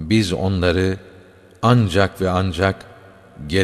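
The voice reads naturally. Its intonation stays fairly even.

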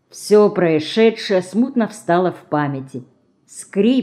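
Lively intonation marks this delivery. It is an unforced reading voice.

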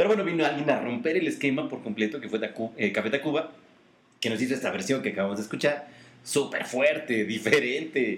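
Speaking at a very fast pace with a Mexican accent, a man talks in a fairly high pitch with ordinary pitch variation. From Mexico. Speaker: podcast co-host. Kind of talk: casual chat.

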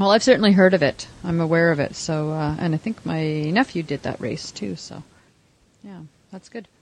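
A woman with a Canadian accent and a fairly low pitch talks at a moderate pace with lively intonation and big swings in loudness, in a normal speaking voice. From Canada. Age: 50s. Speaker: podcast host, triathlete. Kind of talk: casual panel chat. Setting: online call.

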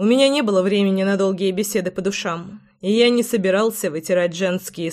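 A plain reading aloud

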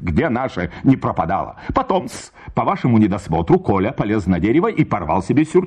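The recording features an unforced reading voice. It is read straight through.

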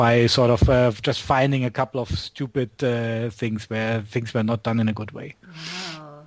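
The speaker talks at a fairly quick pace with a German accent. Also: man. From Germany, Berlin. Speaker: astronomer and software developer. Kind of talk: casual interview chat.

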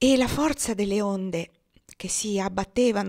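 A plain read-aloud passage, normal rises and falls in pitch, little sound behind it

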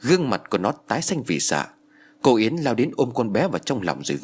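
This clip features a natural reading voice.

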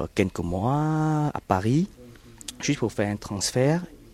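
This man speaks with a Vietnamese accent. His intonation is lively. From South Vietnam. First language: Vietnamese (speaking French). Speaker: Vietnamese refugee. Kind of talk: testimony. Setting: outdoors in a garden. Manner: halting, many hesitations.

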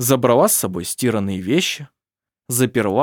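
Over quiet surroundings, there is an unforced reading voice whose pitch moves with ordinary variation.

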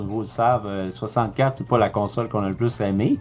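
A man with a Quebec accent speaks at a moderate pace with ordinary pitch variation. Noticeable background noise runs behind him. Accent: Québécois French. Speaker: video game podcast co-host. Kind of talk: casual chat. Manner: halting.

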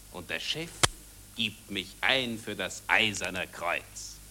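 A woman performs a put-on character voice at an extremely low pitch with a bright, sharp tone. Her intonation is lively and her pace is slow.

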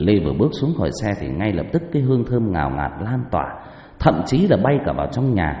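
The natural reading voice rises and falls with lively intonation.

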